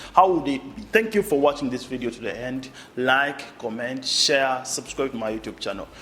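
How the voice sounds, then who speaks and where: A man with a Ugandan accent, medium pitch and a bright, sharp tone, at a moderate pace with lively intonation and big swings in loudness. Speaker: YouTube content creator. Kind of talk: casual commentary monologue.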